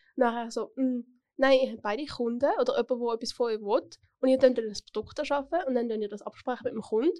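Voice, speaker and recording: A woman's high-pitched, dark, mellow voice at a very fast pace, with ordinary pitch variation and big swings in loudness. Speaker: podcast host, apprentice. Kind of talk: casual interview. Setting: studio.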